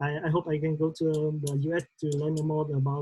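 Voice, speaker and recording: The voice is somewhat breathy and carries a Vietnamese accent. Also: woman. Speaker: trainee. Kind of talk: class presentation. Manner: halting.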